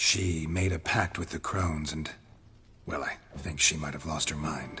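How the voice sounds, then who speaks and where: Over clear background noise, a man does a put-on character voice at a moderate pace, his pitch very deep and low. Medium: video game. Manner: calm, flat, matter-of-fact.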